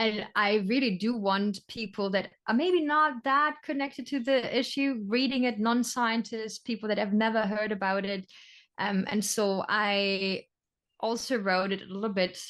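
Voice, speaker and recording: Against a quiet background, a woman speaks at a medium pitch with a German accent. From Germany. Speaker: sea turtle biologist. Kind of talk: interview.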